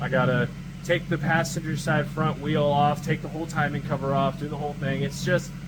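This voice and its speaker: At a fairly quick pace, a man speaks in a flat monotone at a fairly high pitch, with audible room echo and noticeable background noise. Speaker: car repair vlogger. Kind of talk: casual vlog. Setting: outdoors, driveway. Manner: casual, filler-heavy.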